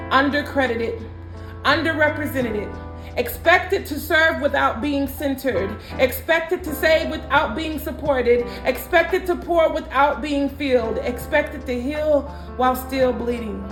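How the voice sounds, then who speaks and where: Music sits in the background as a woman speaks in an American accent. Her pitch is high, with ordinary variation, at a moderate pace. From Minnesota. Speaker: spoken word artist. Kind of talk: spoken word poetry performance.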